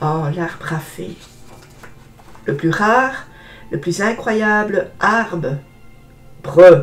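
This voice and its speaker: Over music in the background, a woman with a fairly low pitch speaks at a very slow pace, leaving long, frequent pauses. Her intonation is lively, and her loudness swings widely. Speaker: book reviewer. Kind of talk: book presentation with reading aloud. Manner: drops R sounds.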